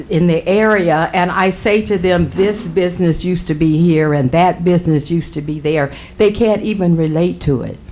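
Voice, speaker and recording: A woman with an American accent, fairly low in pitch, with ordinary pitch variation and a moderate pace, amid audible room echo and noticeable background noise. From US Midwest, Waterloo, Iowa. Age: 70s. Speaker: pastor. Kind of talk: public comment at council meeting. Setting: city council chamber.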